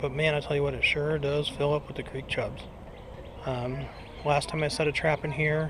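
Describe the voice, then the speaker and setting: A man talks in a fairly high pitch with monotone, flat intonation. Noticeable background noise is heard behind him. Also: moderate pace. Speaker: fishing video maker. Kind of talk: tutorial. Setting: outdoors by a creek. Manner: whispering.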